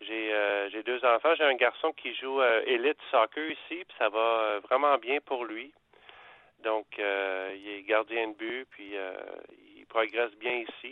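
At a very slow pace, a man talks at a medium pitch with ordinary pitch variation and big swings in loudness. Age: 40s. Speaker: radio caller. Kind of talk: phone-in chat. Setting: phone call.

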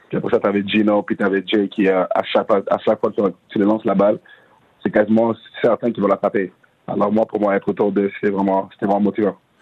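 Monotone, flat delivery from a man with a fairly low pitch at a fairly quick pace. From Montreal West Island, born in Congo. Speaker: professional football player. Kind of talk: radio interview.

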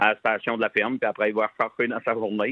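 A man with medium pitch at a fairly quick pace, an unremarkable speaking voice. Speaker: farmer. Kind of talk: phone interview.

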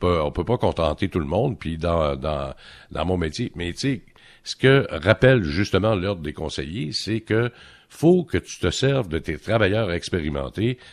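A man's very deep, low voice with vocal fry and lively intonation, at a fairly slow pace against a quiet background. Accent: Quebec. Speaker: economics columnist. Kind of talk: radio interview segment. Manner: hesitant with many fillers.

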